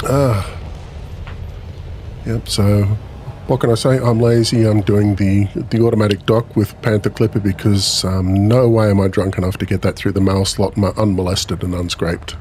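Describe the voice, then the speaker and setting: A man with a fairly low pitch, fairly even intonation, very even loudness and a moderate pace, with noticeable background noise. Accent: Australian. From Australia, Melbourne. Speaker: gaming streamer. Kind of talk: casual live-stream chat. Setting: live stream. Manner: halting, many fillers.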